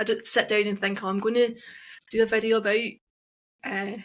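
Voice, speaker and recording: A woman with a Scottish accent, fairly high pitch and fairly quick pace, on a very clean recording with a silent background. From Scotland, Glasgow. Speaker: witch and social media creator. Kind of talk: casual chat.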